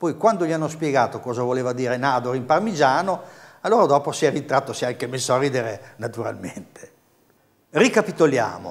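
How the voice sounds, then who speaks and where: Here a man talks at a fairly quick pace in a fairly high pitch. His intonation is lively. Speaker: dialect course host. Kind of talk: TV dialect lesson. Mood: friendly, lightly humorous. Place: studio. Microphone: lapel.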